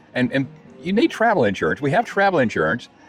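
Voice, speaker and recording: Music is playing in the background. Over it, a man talks very fast. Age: 70s. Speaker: retiree vlogger. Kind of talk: casual chat. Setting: outdoors. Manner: halting.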